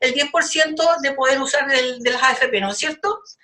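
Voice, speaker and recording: In a Chilean accent, a woman projects her voice at a fairly quick pace, her tone bright and sharp with ordinary pitch variation. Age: 70s. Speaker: community activist. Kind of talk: podcast discussion. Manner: animated.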